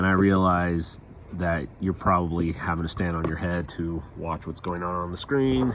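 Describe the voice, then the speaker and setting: Mumbling at a moderate pace, a man speaks with a very deep, low pitch. His pitch variation is ordinary. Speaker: boat restoration vlogger. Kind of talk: casual DIY vlog narration. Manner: mumbling to himself; casual, rambling.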